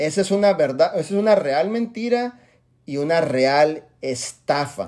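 A man with a fairly high pitch speaks at a fairly slow pace, his tone animated and his intonation lively. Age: 40s. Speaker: network marketing leader. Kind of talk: motivational talk. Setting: video call.

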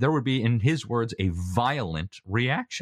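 Dry, close sound with no echo and a quiet background. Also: man. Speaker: interviewee on education. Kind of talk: interview. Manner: fast.

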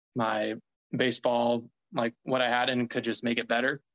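Recorded dry and close with no echo, a man speaks at a moderate pace in a medium pitch. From US South, Mississippi. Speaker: professional baseball pitcher. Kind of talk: casual interview.

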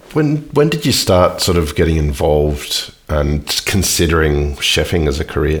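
A man at a moderate pace with very even loudness and hardly any pauses, against noticeable background noise. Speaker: podcast host. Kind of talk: casual interview.

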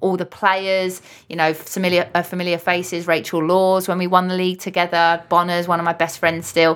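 Speaking with a London accent, a woman keeps a fairly low pitch and monotone, flat intonation at a fairly quick pace. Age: 30s. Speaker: retired footballer. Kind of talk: interview.

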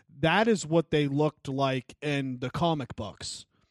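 Against a quiet background, with a dry, close sound and no echo, a man with an unremarkable speaking voice talks fairly slowly at a fairly high pitch, his pitch varying in an ordinary way. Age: 20s. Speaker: podcast co-host. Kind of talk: casual chat.

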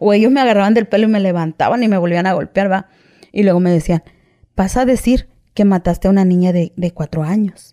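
A woman speaks at a very fast pace with a medium pitch, ordinary pitch variation and a dark, mellow tone. Her loudness stays very even, and the sound is dry and close with no echo. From Mexico, Veracruz (Coatzacoalcos). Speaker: former prisoner telling her story. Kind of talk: testimony. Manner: halting.

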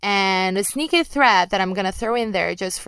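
In a very clean recording with a silent background, a woman speaks with a Brazilian accent. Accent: mild Brazilian Portuguese accent in English. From Brazil, Rio de Janeiro. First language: Portuguese. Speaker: MMA podcast host and journalist. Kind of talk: podcast Q and A monologue. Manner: casual, with filler words and occasional stumbles.

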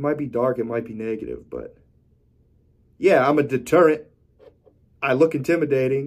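A man speaks at a moderate pace with vocal fry, a medium pitch, fairly even intonation, long and frequent pauses, and big swings in loudness. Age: 20s. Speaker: podcast host and supplement shop owner. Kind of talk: solo monologue podcast.

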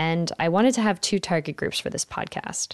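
In a normal speaking voice with an American accent, a woman talks at a fairly low pitch with ordinary pitch variation, the sound dry and close with no echo and the background quiet. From Philadelphia, Pennsylvania, US. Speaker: podcast host and architect. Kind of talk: scripted podcast introduction.

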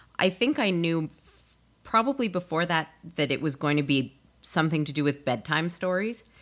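Using an ordinary speaking voice, a woman with a fairly low pitch talks at a moderate pace and with lively intonation. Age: 30s. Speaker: audio drama creator and composer. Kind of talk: casual interview chat.

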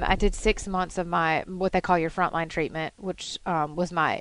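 With a plain, everyday voice, a woman of fairly low pitch speaks at a fairly quick pace, with ordinary pitch variation against a quiet background. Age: 30s. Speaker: cancer patient guest. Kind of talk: interview about illness. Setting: studio.

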